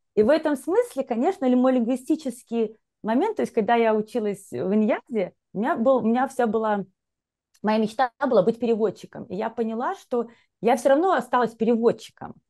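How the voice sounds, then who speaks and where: Against a quiet background, a woman with a dark, mellow tone and a fairly high pitch speaks at a fairly quick pace with ordinary pitch variation. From Belarus. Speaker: executive and leadership coach, HR professional; podcast guest, leadership coach. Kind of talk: interview. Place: home room. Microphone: earbuds.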